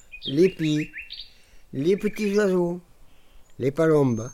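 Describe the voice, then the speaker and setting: Speaking very slowly at a fairly high pitch, a man is heard over noticeable background noise. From Montpellier, southern France. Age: 70s. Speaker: retired winegrower. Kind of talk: casual chat.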